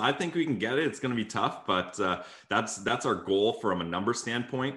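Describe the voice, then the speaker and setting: This man has a plain, everyday voice. He talks at a moderate pace with lively intonation. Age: 20s. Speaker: sports podcaster. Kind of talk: casual chat.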